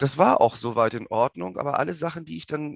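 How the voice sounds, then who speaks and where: A man at medium pitch talks at a very fast pace, with a dry, close sound that has no echo and a quiet background. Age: 30s. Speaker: podcast host. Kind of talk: personal monologue.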